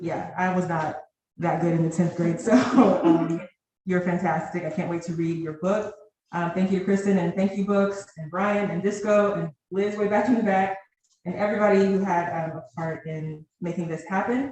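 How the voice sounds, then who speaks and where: A voice with an American accent comes through with audible room echo. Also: woman, medium pitch for a woman, moderate pace. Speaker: poet. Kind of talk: poetry reading. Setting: stage with audience. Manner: loud.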